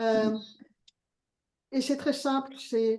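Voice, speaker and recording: The tone is dark and mellow. A woman speaks with fairly even intonation. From Belgium. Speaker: participant in prayer group. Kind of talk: prophetic word in group call. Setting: video call.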